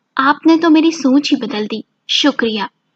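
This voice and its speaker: A woman does a put-on character voice, high-pitched, soft-spoken and shaky, at a moderate pace, in a dry, close sound with no echo. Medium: read story. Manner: trembling, soft-spoken.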